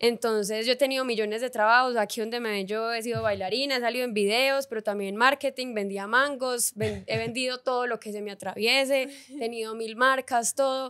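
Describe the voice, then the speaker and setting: A woman with a plain, everyday voice talks at a fairly quick pace and fairly high pitch. Her intonation is fairly even against a quiet background. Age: 20s. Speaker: influencer and content creator; influencer, content creator. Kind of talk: casual interview chat. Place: studio. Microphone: studio mic.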